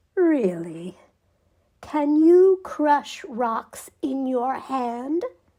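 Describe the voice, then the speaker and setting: A woman's put-on character voice, high in pitch, with very wide pitch swings at a very slow pace. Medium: read story.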